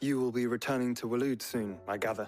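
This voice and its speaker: Doing a put-on character voice at a medium pitch, a man talks at a very fast pace with faint music in the background. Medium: video game.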